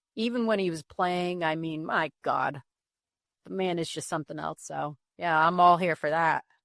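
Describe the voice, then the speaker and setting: In a very clean recording with a silent background and a dry, close sound with no echo, a woman talks at a moderate pace in an ordinary speaking voice, fairly low in pitch, with ordinary pitch variation. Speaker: podcast co-host. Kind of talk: casual chat.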